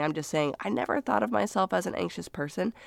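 A woman is heard on a very clean recording with a silent background. The sound is dry and close, with no echo. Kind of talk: devotional podcast monologue.

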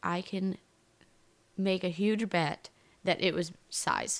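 A woman is speaking. Her pace is very slow. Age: 20s. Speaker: podcast co-host discussing a TV show. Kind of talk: casual chat.

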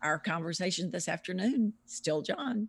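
A woman speaks with a Southern US accent at a fairly slow pace. The recording is very clean, with a silent background. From US South, Louisiana. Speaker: author and researcher. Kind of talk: interview.

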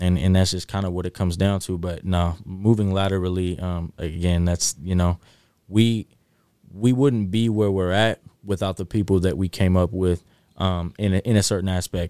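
An American-accented man with a very deep, low pitch and dark, mellow tone at a moderate pace, dry and close with no echo, on a very clean recording with a silent background. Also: fairly even intonation. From North Highlands, Sacramento area, California. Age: 20s. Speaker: recording artist and songwriter. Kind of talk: casual chat.

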